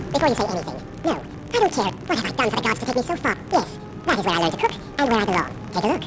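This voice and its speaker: A put-on character voice with fairly high pitch rattles along at a very fast pace over loud background noise. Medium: video game. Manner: irritable.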